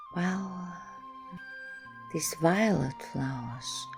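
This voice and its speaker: A soft-spoken woman at a very slow pace, with music in the background. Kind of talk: casual talk to camera.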